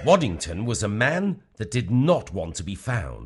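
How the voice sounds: Over faint music in the background, a man does a put-on character voice with a slightly husky edge, very wide pitch swings and a fairly slow pace. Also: fairly low pitch for a man.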